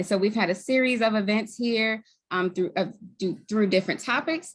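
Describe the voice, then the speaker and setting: Speaking with a slight Baltimore accent, a woman keeps a moderate pace and a fairly high pitch with ordinary pitch variation. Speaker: community group co-lead. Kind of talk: formal webinar introduction.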